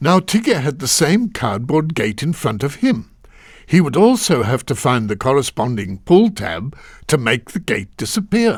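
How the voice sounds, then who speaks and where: Vocal fry and very wide pitch swings in a man's voice, on a very clean recording with a silent background. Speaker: voice actor. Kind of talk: children's video game narration. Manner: comforting, gentle.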